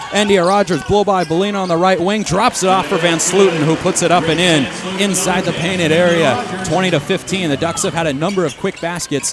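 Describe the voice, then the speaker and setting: Against noticeable background noise, a man with a high voice talks at a fairly quick pace with hardly any pauses. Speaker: radio play-by-play announcer. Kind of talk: live radio sports play-by-play. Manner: fast, energetic.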